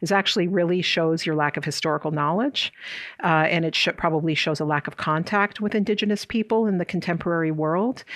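Someone with an American accent talks at a very fast pace, with ordinary pitch variation. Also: woman, fairly low pitch for a woman. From US Midwest, South Dakota. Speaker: professor. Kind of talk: interview.

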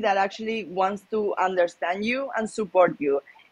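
Here a woman is talking. Her speech carries a Spanish accent. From Malaga, Spain. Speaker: professional poker player. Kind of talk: casual interview chat.

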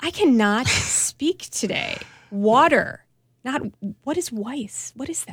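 In a Milwaukee accent, a woman speaks at a very slow pace with a high pitch and lively intonation. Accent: Midwestern Milwaukee. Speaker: food writer. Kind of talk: casual chat.

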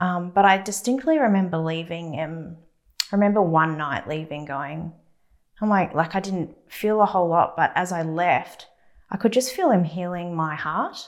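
A woman talks in a plain, everyday voice at a moderate pace. Her pitch is fairly low, with ordinary pitch variation. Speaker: church member giving testimony. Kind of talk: testimony.

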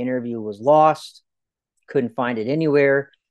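In an ordinary speaking voice, a man talks at a fairly slow pace with ordinary pitch variation over a quiet background. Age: 30s. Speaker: children's author and army officer. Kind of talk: interview.

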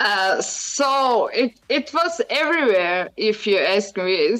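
With a Croatian accent, a woman talks at a fairly high pitch. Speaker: adult film performer. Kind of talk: radio interview. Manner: halting, searching for English words.

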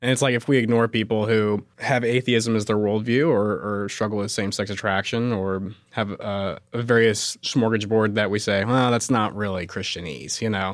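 A man with a plain, everyday voice speaks at a fairly low pitch and a moderate pace on a very clean recording with a silent background. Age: 20s. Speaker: guest, host's son. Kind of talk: casual chat.

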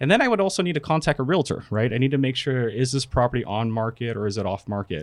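With an American accent, a man talks at a very fast pace with lively intonation. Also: medium pitch for a man, hardly any pauses. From California. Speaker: real estate software product manager. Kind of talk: casual chat; tutorial. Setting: studio.

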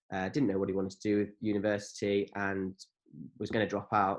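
In a quiet background, a man with an English accent talks at a fairly quick pace in a fairly low, monotone, flat voice. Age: 20s. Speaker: business owner and cheerleader. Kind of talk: casual chat.

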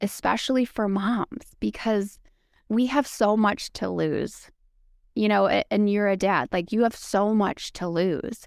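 In a very clean recording with a silent background and a dry, close sound with no echo, a woman speaks at a medium pitch with an American accent. She has an ordinary speaking voice and talks at a fairly slow pace. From Wisconsin, US Midwest. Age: 40s. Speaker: podcast guest in recovery, mother. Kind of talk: casual interview, personal testimony.

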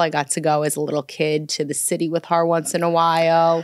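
A woman with a New York accent speaks at a very deep, low pitch and a moderate pace. Her intonation is monotone and flat, on a very clean recording with a silent background. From New York (Brooklyn, Long Island). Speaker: commercial real estate lawyer. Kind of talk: casual chat.

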